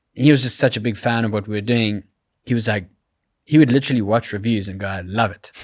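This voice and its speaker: A man with a South African accent and medium pitch talks at a very fast pace with fairly even intonation. The recording is very clean with a silent background, and his loudness swings widely. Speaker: creative director and YouTuber. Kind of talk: casual interview.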